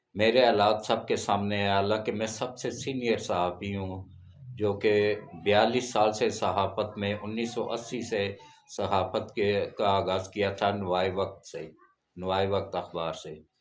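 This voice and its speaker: The speech has a monotone, flat intonation, with audible room echo. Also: man, fairly low pitch for a man. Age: 70s. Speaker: veteran journalist and religious channel host. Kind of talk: religious talk to camera.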